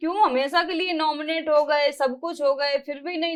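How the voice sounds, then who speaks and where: High, fairly even speech from a woman, at a moderate pace. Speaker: reality show contestant. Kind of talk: interview answer.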